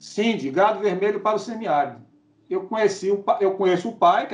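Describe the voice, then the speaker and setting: Talking at a moderate pace, a man with a high pitch is heard over noticeable background noise. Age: 50s. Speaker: cattle and goat farmer. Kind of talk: casual interview.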